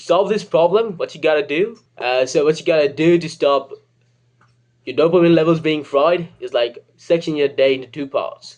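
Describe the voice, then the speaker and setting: With a British accent, a man speaks at a moderate pace in a fairly high pitch, using ordinary pitch variation and big swings in loudness. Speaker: comedic self-help video creator. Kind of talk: comedic advice monologue. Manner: casual, joking.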